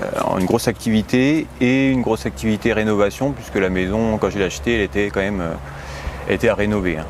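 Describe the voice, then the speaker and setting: A man's fairly low voice at a very fast pace, with lively intonation and noticeable background noise. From France, Haute-Marne. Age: 30s. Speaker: home renovator, medical student. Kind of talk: interview. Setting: at home.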